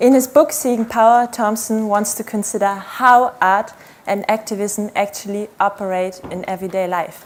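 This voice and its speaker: An unremarkable speaking voice from a woman at medium pitch. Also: fairly even intonation, moderate pace. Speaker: PhD researcher, conference speaker. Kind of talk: conference talk.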